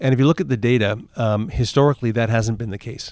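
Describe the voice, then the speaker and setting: Fairly quick speech from a man with a Canadian accent, fairly low pitch and ordinary pitch variation, on a very clean recording with a silent background. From Toronto, Canada. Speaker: former bank CEO. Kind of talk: interview. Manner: halting, many fillers.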